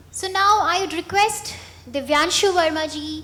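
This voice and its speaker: A woman at a moderate pace with fairly even intonation, in audible room echo. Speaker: event organizer. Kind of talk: presentation.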